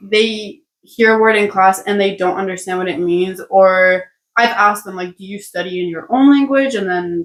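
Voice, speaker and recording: With hardly any pauses, a woman at a medium pitch talks at a moderate pace with big swings in loudness. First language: Spanish (bilingual with English). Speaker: international medical student, podcast co-host. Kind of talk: casual chat.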